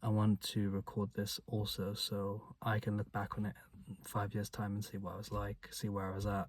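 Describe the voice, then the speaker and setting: With monotone, flat intonation, a man speaks at a moderate pace in a fairly low, somewhat breathy voice. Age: 20s. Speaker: vlogger. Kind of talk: casual vlog monologue. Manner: stutters.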